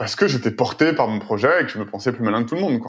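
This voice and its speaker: With lively intonation, a man at medium pitch talks at a very fast pace. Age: 30s. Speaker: tech entrepreneur. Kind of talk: interview. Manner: hesitant, many fillers and repetitions.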